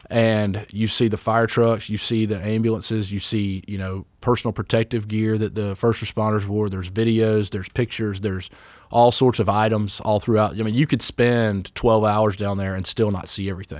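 With a Southern US accent, a man speaks in a fairly low pitch at a moderate pace, hardly pausing, his intonation monotone and flat over a very clean recording with a silent background. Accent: Southern US (Georgia). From US South, Georgia (Douglasville, Fayetteville area). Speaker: firefighter paramedic and small business owner. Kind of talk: casual interview.

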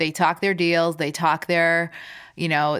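Her voice is very deep and low, delivered in a flat monotone. The woman's recording is very clean with a silent background. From former Soviet Union, raised in Chicago. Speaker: food company CEO.

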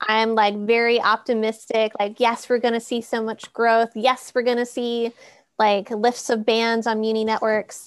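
Using a normal speaking voice, a woman with an American accent talks at a fairly slow pace and a fairly high pitch. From US Midwest (Minnesota). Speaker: broadband project manager. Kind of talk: casual panel discussion.

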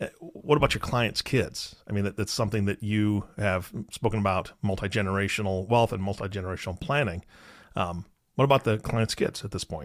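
A man talks at a fairly quick pace in a fairly low pitch, with ordinary pitch variation. The recording is very clean, with a silent background. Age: 40s. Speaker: podcast co-host, interviewer. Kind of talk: casual interview.

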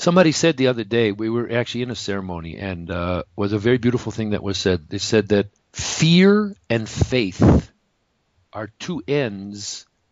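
Speaking with an American accent, a man has a plain, everyday voice at a medium pitch. He moves at a moderate pace with lively intonation. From US Midwest, Detroit area, Michigan. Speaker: energy healer, former acupuncturist. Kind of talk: interview.

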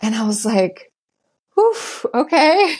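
A woman with a German accent over a quiet background. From Germany, small town. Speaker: hypnotherapist. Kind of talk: interview.

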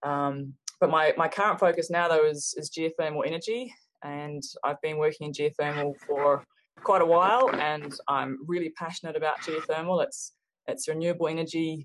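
Very deep, low pitch from a woman, with ordinary pitch variation. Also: moderate pace. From New Zealand, Hawke's Bay. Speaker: geology professor. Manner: hesitant, many fillers.

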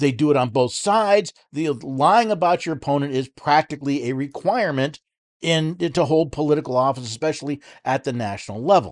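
A fairly quick pace and lively intonation in an American accent, against a quiet background. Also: man, fairly high pitch for a man. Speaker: podcast host. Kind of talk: monologue commentary with clips. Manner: hesitant, filler words.

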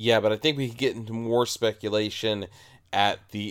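This man has an ordinary speaking voice, fairly low in pitch with ordinary pitch variation, and he talks at a fairly quick pace. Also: very clean recording, silent background. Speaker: podcast co-host. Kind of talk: casual banter between co-hosts discussing comics. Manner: jokey, wisecracking.

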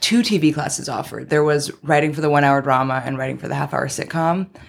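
Speaking with an American accent, a woman has a very deep, low pitch and fairly even intonation. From Queens, New York. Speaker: TV writer. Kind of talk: casual interview chat.

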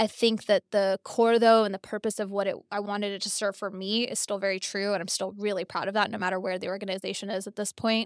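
In an American accent, a woman talks at a very fast pace with monotone, flat intonation and hardly any pauses. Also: medium pitch for a woman, dry, close sound with no echo, very clean recording, silent background. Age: 30s. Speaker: tech entrepreneur and marketing executive. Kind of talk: casual interview.

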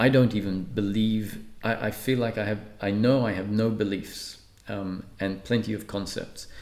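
A calm man's voice, fairly low-pitched and fairly even in intonation, at a moderate pace with audible room echo. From Australia (Perth), born in Malta. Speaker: spiritual teacher and speaker. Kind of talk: interview. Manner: calm, measured with frequent filler pauses.

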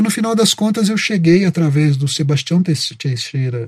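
A man's ordinary speaking voice, fairly high in pitch, with lively intonation at a moderate pace. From Minas Gerais, Brazil (Itajubá). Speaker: advertising copywriter. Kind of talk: interview.

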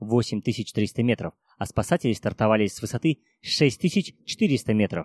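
A man talks at medium pitch. The recording is very clean with a silent background, and the sound is dry and close, with no echo. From Kazakhstan. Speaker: mountaineer. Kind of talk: interview. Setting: cafe.

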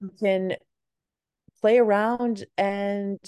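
With an American accent, a woman speaks at a medium pitch in a dark, mellow tone, and the background is quiet. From Massachusetts, US. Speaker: beauty brand founder. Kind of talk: casual interview.

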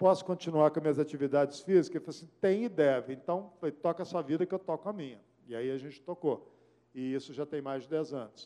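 A man with a fairly high pitch and a dark, mellow tone talks at a very fast pace, with big swings in loudness and ordinary pitch variation. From Belo Horizonte, Minas Gerais, Brazil. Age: 60s. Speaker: radio journalist and news director. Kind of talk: lecture.

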